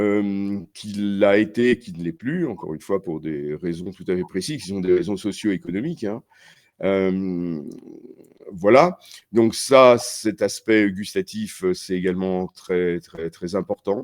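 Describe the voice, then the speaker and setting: Speaking at a very slow pace, a man with a fairly low pitch uses ordinary pitch variation, his loudness swinging widely. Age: 70s. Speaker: ethnobotanist. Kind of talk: interview. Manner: hesitant, many fillers and repetitions; animated.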